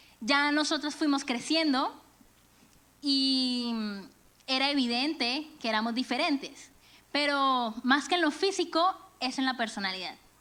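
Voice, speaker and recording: A woman's raised, projected voice, high-pitched and bright, sharp in tone, at a fairly slow pace with long, frequent pauses and ordinary pitch variation. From Venezuela and Colombia. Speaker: church speaker, music teacher. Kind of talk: sermon. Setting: church.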